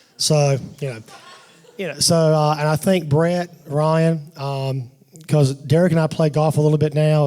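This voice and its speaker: Delivered at a moderate pace, this voice has a dark, mellow tone and fairly even intonation. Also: man. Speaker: father of the bride giving a wedding toast. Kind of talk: wedding toast. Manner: loud, voice carries; halting, many restarts and fillers.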